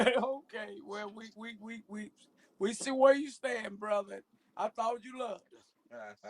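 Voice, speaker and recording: An American-accented man speaks in an animated tone at a fairly slow pace, his high-pitched voice swinging widely in loudness. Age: 50s. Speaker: podcast co-host. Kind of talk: casual chat.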